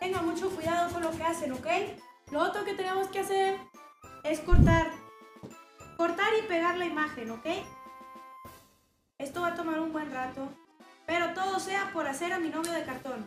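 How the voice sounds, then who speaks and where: A woman with an extremely high pitch and ordinary pitch variation speaks at a moderate pace, leaving long, frequent pauses. Her loudness swings widely, and clear music plays in the background. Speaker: streamer. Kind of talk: casual stream chat and tutorial. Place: home room.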